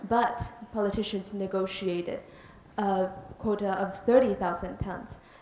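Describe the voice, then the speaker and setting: A woman talks in a monotone, flat intonation, with long, frequent pauses. Noticeable background noise runs underneath. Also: medium pitch for a woman, moderate pace. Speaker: audience member asking a question. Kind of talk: audience Q&A question.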